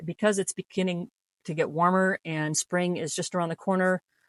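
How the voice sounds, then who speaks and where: An unremarkable speaking voice belongs to a woman with a fairly low pitch and fairly even intonation, talking at a moderate pace. The sound is dry and close with no echo, and the background is quiet. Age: 50s. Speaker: artist. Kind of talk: casual talk to camera.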